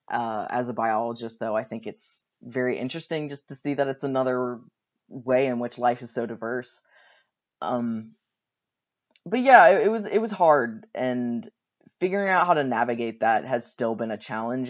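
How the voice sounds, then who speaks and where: A man talks at a moderate pace in an unremarkable speaking voice, medium in pitch with ordinary pitch variation, against a quiet background. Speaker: graduate student speaking on a panel. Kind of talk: recorded talk for a class panel. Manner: casual, with fillers.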